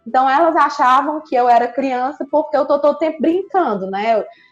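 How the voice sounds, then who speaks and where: A woman's lively intonation rises over music playing behind her. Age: 30s. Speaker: psychologist. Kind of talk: casual chat.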